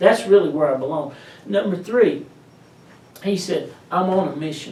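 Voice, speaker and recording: A man with a slight East Tennessee accent, plus audible room echo. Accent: slight East Tennessee Southern. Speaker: pastor. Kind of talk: sermon. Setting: pastor's office.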